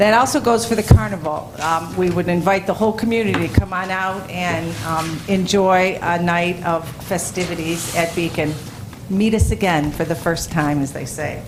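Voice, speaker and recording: In a room with audible echo and noticeable background noise, a woman speaks at a fairly low pitch. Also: ordinary pitch variation, moderate pace. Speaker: school principal giving report. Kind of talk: board meeting report. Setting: school board meeting.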